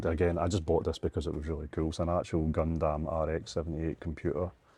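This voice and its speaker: A man with a Scottish accent speaks very fast in a flat monotone, with a very deep, low pitch. His tone is dark and mellow, and the background is quiet. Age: 40s. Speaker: retro game shop owner. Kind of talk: casual chat. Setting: shop.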